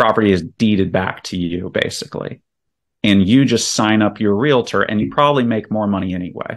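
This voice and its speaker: This is an ordinary speaking voice: a man with an American accent, fairly low in pitch, with ordinary pitch variation. He talks at a fairly quick pace against a quiet background. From Virginia, US. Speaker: real estate investor. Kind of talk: podcast interview. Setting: remote call.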